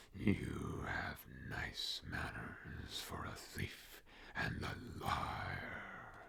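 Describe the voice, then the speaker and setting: Over clear background noise, a man whispers at a very slow pace in a menacing tone, using a put-on character voice. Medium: read story. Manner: sneering, menacing.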